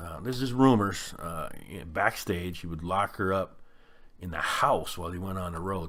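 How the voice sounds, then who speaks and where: Bright and sharp in tone, a man with a very deep, low pitch speaks at a moderate pace with ordinary pitch variation. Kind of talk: casual talk to camera. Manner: conversational, halting with filler words.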